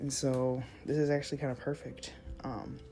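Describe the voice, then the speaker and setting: With music playing in the background and audible room echo, a woman speaks at a very deep, low pitch. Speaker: art content creator. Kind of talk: casual draw-along chat. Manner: hesitant, many fillers; slow.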